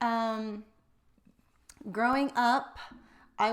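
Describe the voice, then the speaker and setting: In a Texan accent, a woman speaks with a fairly high pitch and monotone, flat intonation. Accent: American, Texan. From Texas (Wichita Falls). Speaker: financial advisor. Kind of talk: casual chat.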